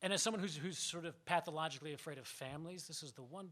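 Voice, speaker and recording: In a New York accent, a man talks at a very fast pace. His pitch varies in an ordinary way. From New York suburbs. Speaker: playwright. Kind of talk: reading aloud.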